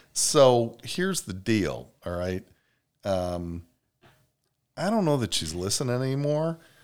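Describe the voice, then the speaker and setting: Pausing long and often, a man speaks at a fairly slow pace and a medium pitch, his voice making very wide pitch swings. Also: very clean recording, silent background. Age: 50s. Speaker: podcast co-host. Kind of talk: casual chat. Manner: slow talker.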